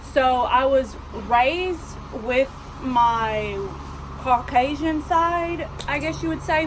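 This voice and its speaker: With a strong Southern US accent and a high pitch, a woman speaks with ordinary pitch variation amid audible room echo and noticeable background noise. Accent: strong Southern drawl. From US South. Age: 20s. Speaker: vlogger. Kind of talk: casual storytelling.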